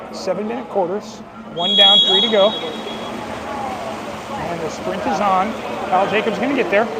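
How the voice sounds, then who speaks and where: A man with a high voice speaks at a fairly slow pace, with ordinary pitch variation, noticeable background noise and audible room echo. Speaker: amateur sports commentator (parent). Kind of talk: live play-by-play commentary. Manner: animated; loud.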